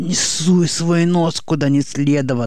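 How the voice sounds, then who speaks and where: Hissing runs through a put-on character voice at a middle pitch and a fairly slow pace. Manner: hissing, threatening.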